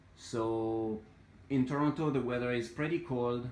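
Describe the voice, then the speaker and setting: A man with a French accent, at a very slow pace. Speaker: hobbyist plant grower. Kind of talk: casual tutorial walkthrough. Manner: hesitant, many fillers.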